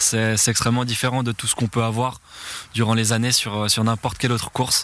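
A man at medium pitch talks in a monotone, flat intonation. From Switzerland, Valais (Chablais). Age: 20s. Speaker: BMX racer. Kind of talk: interview. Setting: at a training track. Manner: hesitant, many fillers and repetitions.

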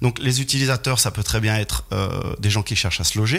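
A man speaks at a moderate pace in a fairly low voice, with ordinary pitch variation. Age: 40s. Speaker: real estate developer. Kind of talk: radio interview, expert explanation. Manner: hesitant, frequent repetitions and fillers.

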